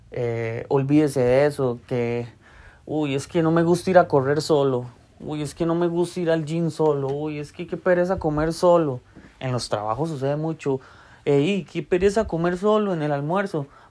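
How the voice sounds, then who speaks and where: A man with a fairly high pitch, a dark, mellow tone and a Costa Rican accent. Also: ordinary pitch variation, moderate pace. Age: 30s. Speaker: podcaster. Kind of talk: casual monologue.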